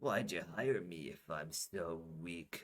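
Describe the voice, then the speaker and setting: Very deep, raspy put-on character voice from a man, very slow, with ordinary pitch variation. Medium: read story. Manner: gruff.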